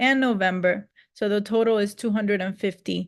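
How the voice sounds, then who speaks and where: With a Spanish accent, a woman of medium pitch speaks at a moderate pace with fairly even intonation against a quiet background. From Cuba. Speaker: Spanish teacher. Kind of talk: sales pitch. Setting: video call. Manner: casual, many fillers.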